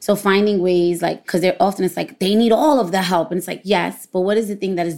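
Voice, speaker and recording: A woman with a New York accent at a fairly quick pace. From Brooklyn, New York. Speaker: former educator and parent. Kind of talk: interview conversation.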